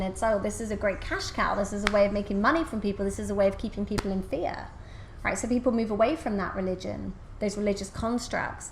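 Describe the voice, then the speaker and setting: Her tone is animated and her pace fairly quick. The woman has a medium pitch and vocal fry. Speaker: spiritual coach and channel. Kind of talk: interview conversation. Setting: podcast interview. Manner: fast.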